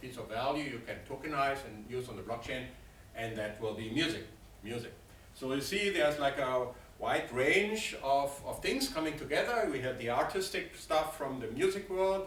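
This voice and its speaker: Over noticeable background noise and audible room echo, a man with a German accent and fairly high pitch speaks at a moderate pace. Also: lively intonation. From Germany, Berlin. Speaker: finance professor, guest lecturer. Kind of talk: guest lecture.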